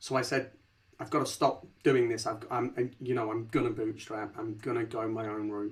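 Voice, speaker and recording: With a strong Leicester accent, a man talks at a moderate pace in a medium-pitched, somewhat breathy voice with monotone, flat intonation. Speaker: company founder and CEO. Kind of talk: podcast interview. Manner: casual, repetitive restarts.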